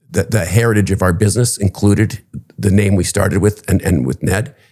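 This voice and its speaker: With a Canadian accent, a man speaks in a fairly low voice with a dark, mellow tone. His pitch variation is ordinary. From Canada, Toronto. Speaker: real estate executive. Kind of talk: interview. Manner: hesitant, many fillers.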